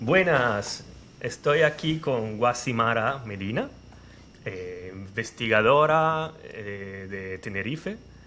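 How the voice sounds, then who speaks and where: Speaking at a very slow pace with an Italian accent, a man has a bright, sharp tone and lively intonation. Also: medium pitch for a man, big swings in loudness. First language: Italian (speaking Spanish). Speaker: interviewer, olive researcher. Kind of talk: interview.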